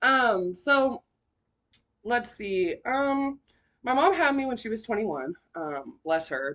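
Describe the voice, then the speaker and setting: A woman speaks with an American accent. Her pitch swings very widely against a quiet background. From Sacramento, California. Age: 20s. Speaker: podcast host. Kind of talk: personal testimony podcast. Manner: casual, filler-heavy.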